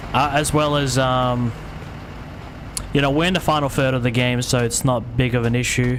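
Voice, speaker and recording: An Australian-accented man at a fairly quick pace, with audible room echo and noticeable background noise. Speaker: gaming streamer. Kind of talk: live game stream commentary. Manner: fast.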